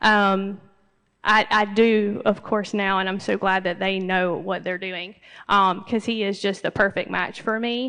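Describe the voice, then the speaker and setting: Soft-spoken, a woman with a Southern US accent talks in a bright, sharp tone with monotone, flat intonation. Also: medium pitch for a woman, fairly slow pace, quiet background. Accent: US South. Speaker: assistance dog graduate client. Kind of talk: graduation speech. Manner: halting, many fillers.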